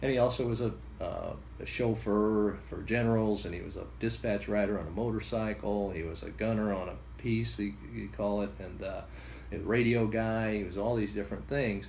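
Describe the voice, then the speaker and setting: A man speaks with a fairly low, somewhat breathy voice and ordinary pitch variation. Room echo is audible. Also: moderate pace. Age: 60s. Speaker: grandson of a war veteran. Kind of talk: interview storytelling. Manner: halting with many fillers.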